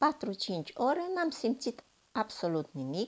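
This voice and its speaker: A woman speaks at a very slow pace, her pitch making very wide swings. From Romania, Timișoara. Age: 70s. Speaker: retired nurse, product testimonial. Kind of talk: testimony.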